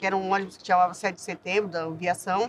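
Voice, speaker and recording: A woman talks at a fairly quick pace. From São Paulo city outskirts, Brazil (childhood in southern Minas Gerais). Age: 60s. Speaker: community activist. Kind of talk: interview testimony. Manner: halting, with many false starts.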